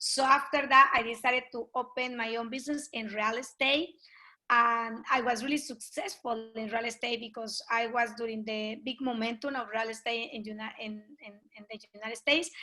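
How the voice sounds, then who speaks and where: With a Colombian accent and a bright, sharp tone, a woman speaks at a moderate pace with big swings in loudness, on a very clean recording with a silent background. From Colombia (Pasto, south). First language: Spanish. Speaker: network marketing leader. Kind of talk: interview. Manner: animated.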